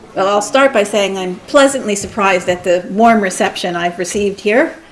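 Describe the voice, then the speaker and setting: A woman talks at a fairly quick pace with a medium pitch and ordinary pitch variation. Noticeable background noise sits behind her voice. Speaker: doctor and lecturer. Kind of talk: lecture. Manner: fast.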